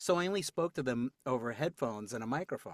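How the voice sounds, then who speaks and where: With an American accent and lively intonation, a man talks at a very fast pace in a dry, close sound with no echo, on a very clean recording with a silent background. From New York City. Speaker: voice actor. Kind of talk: casual chat.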